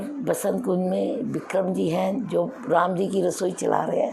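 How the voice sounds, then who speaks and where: Noticeable background noise and some audible echo from the room. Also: woman. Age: 70s. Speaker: resident. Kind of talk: testimonial. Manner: halting.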